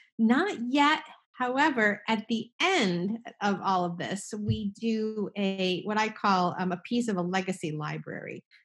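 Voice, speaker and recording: A woman speaks at a fairly slow pace in a somewhat breathy, medium-pitched voice. Her intonation is lively, with an American accent. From New Jersey. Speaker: estate planning attorney. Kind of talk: casual interview.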